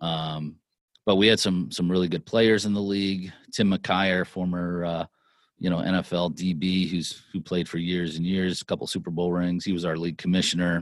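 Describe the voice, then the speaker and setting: The speaker uses an American accent and monotone, flat intonation at a moderate pace. The recording is very clean, with a silent background. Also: man, very deep, low pitch for a man. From Pennsylvania, Lancaster. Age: 40s. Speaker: sports executive and entrepreneur. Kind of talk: interview, life story.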